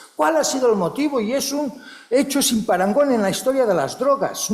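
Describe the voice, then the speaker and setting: A man speaks in an extremely high pitch, with lively intonation and an animated tone. The room echo is audible, and background noise is noticeable. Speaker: psychology researcher and professor. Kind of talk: conference talk. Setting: conference hall with audience and interpreters.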